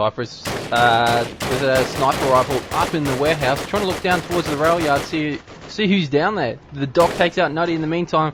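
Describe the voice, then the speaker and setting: A man's fairly quick speech with ordinary pitch variation amid noticeable background noise. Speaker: game caster / commentator. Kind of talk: live esports match commentary (shoutcast). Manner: fast, matter-of-fact play-by-play.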